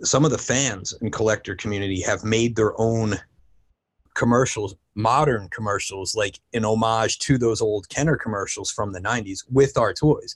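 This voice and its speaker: A man speaks with fairly even intonation and a somewhat breathy sound. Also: medium pitch for a man, moderate pace. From New Jersey. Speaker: toy company creative director. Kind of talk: interview.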